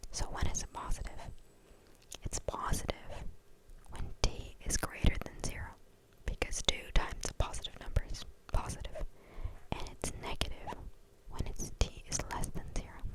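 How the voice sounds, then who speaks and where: Over noticeable background noise, someone whispers at a moderate pace with long, frequent pauses. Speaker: student. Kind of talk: ASMR tutorial. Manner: whispered.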